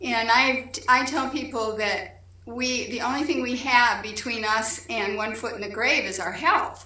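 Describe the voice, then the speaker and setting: Over noticeable background noise, a woman with a high pitch talks at a fairly slow pace, with ordinary pitch variation and hardly any pauses. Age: 60s. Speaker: patient giving testimonial. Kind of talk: testimony. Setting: video call.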